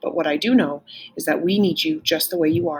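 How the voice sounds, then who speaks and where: In a raspy put-on character voice at a middle pitch, the speaker moves at a fairly quick pace. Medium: read story.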